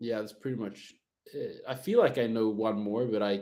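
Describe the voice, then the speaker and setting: Speaking at a moderate pace with a Swedish accent, a man uses a medium pitch and a dark, mellow tone. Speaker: jazz guitar teacher and livestreamer. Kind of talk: casual livestream chat. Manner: casual, halting with many fillers.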